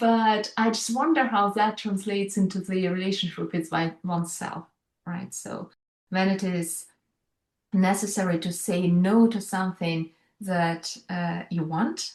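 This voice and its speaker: Somewhat breathy, a woman speaks with a non-native accent. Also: medium pitch for a woman, ordinary pitch variation, fairly slow pace. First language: not English. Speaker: leadership coach. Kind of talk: panel discussion.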